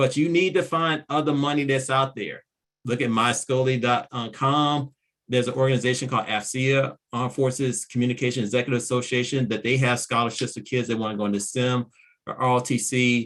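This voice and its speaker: In an American accent, a man speaks at a fairly quick pace and medium pitch with fairly even intonation, in a plain, everyday voice. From Virginia (Petersburg). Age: 40s. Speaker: nonprofit founder and mentor. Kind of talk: presentation.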